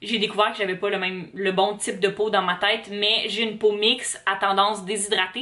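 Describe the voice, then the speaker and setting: A woman with a Quebec accent at medium pitch, monotone, flat intonation and a fairly quick pace, amid noticeable background noise. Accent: Québécois French. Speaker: vlogger, university student. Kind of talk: casual vlog talk to camera. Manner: hesitant, many fillers.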